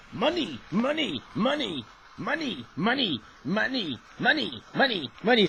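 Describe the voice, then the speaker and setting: A man's put-on character voice, high-pitched and fairly slow, over clear background noise. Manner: cartoonish.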